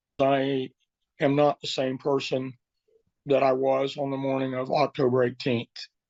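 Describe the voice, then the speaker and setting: At a moderate pace, a man speaks with a medium pitch and monotone, flat intonation, leaving long, frequent pauses. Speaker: teacher and assault victim. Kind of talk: interview testimony. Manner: halting.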